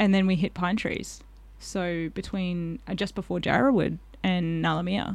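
A woman with an Australian accent, fairly low in pitch, with fairly even intonation and a moderate pace, on a very clean recording with a silent background. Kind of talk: casual chat.

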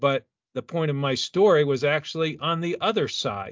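This man has an unremarkable speaking voice, talking at a fairly slow pace with ordinary pitch variation. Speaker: sports physiologist. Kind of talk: interview.

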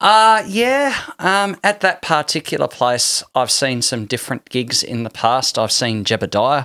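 Here a man with an Australian accent speaks at a fairly slow pace in a bright, sharp tone. His fairly high pitch swings very widely, on a very clean recording with a silent background. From Tasmania, Australia. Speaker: musician. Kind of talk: casual chat. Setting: studio.

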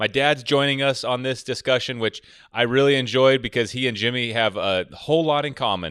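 Using an ordinary speaking voice, a man talks at a fairly quick pace. His medium pitch shows ordinary variation. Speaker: podcast host and woodworking channel creator. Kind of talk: casual chat. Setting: video call.

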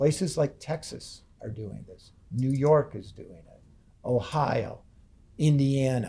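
Somewhat breathy and dark, mellow in tone, a man with an American accent speaks at a fairly high pitch with ordinary pitch variation. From US Midwest, Ann Arbor, Michigan. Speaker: university government relations executive, former politician. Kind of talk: seminar talk.

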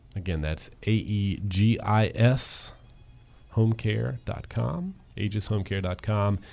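A man with a plain, everyday voice speaks at a fairly slow pace in a fairly low pitch, with ordinary pitch variation, on a very clean recording with a silent background. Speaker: radio host. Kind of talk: interview discussion on radio show.

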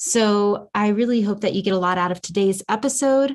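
A woman with an American accent talks at a fairly quick pace in a medium pitch, using a plain, everyday voice with ordinary pitch variation over a quiet background. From US South. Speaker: wellness podcast host. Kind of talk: casual interview chat.

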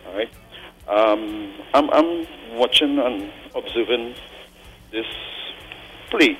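A man at a medium pitch, very slow pace and ordinary pitch variation, with long, frequent pauses and music in the background. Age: 40s. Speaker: caller. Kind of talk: call-in opinion.

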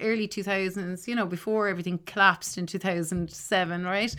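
A woman's medium-pitched voice with an Irish accent and a bright, sharp tone. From Ireland. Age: 40s. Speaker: music teacher. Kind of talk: casual chat. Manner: animated.

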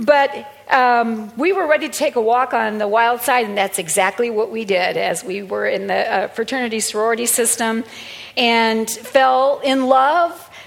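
The speaker talks at a moderate pace in an animated tone with ordinary pitch variation. Background noise is noticeable. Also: woman, fairly high pitch for a woman. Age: 60s. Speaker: pastor. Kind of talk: sermon. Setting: church.

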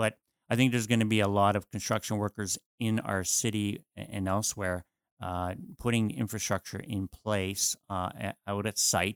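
A man with a Canadian accent and a normal speaking voice, fairly low in pitch, at a moderate pace with fairly even intonation, in a dry, close sound with no echo and a very clean recording over a silent background. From Ontario, Canada. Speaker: mayor, podcast host. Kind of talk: casual chat.

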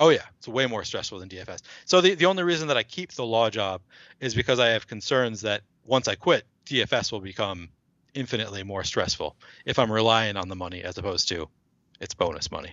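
Talking at a very fast pace, a man with an American accent is heard. His loudness swings widely. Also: medium pitch for a man, lively intonation. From Minnesota, Twin Cities. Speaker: fantasy sports player and lawyer. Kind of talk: casual chat.

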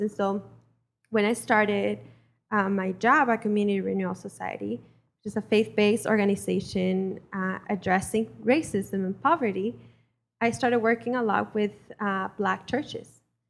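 In a Spanish accent, a woman with a medium pitch talks at a moderate pace. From Mexico. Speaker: community organizer. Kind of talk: personal testimony. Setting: church with congregation.

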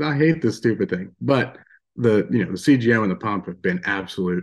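A man with an American accent has a normal speaking voice, fairly low in pitch with lively intonation. The background is quiet. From Western Pennsylvania. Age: 20s. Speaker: outdoorsman and diabetes advocate. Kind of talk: interview.

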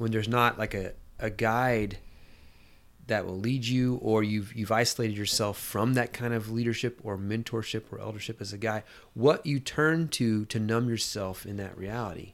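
On a very clean recording with a silent background, a man with a normal speaking voice talks at a moderate pace, medium in pitch, with fairly even intonation. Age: 40s. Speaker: podcast guest, friend of host. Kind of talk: casual chat.

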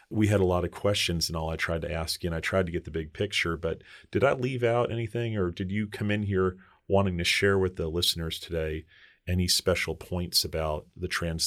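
Over a silent background in a very clean recording, a man with an American accent speaks fairly quickly at a very deep, low pitch with ordinary pitch variation. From New York. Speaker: podcast host, mental health professional. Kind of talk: interview podcast.

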